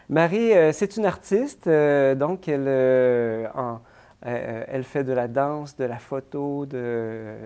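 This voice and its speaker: Against a quiet background, a man with a dark, mellow tone and fairly high pitch speaks very slowly with ordinary pitch variation. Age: 40s. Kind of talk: interview. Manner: halting.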